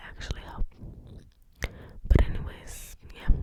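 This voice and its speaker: A breathy whisper comes through over noticeable background noise. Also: woman. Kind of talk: casual chatty update to camera. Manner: breathy, slow, whispered.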